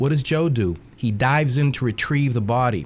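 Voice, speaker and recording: This man speaks with a Boston accent at a medium pitch. His pitch varies in an ordinary way. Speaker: author. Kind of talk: radio interview. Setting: radio studio.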